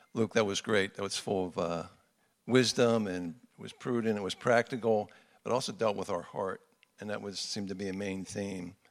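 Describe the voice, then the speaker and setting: This man has a normal speaking voice with a fairly low pitch, talking at a moderate pace with fairly even intonation. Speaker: men's ministry leader. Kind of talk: sermon introduction and closing remarks. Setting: church men's gathering.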